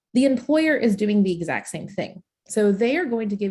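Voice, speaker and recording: The speaker is a woman. Her pitch moves in very wide swings. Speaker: career coach. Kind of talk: webinar presentation. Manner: fast.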